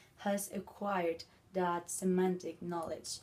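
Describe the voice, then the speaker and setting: A woman's medium-pitched voice, dark and mellow in tone, with fairly even intonation. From Spain. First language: Spanish. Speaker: language video blogger. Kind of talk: educational talk. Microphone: phone near.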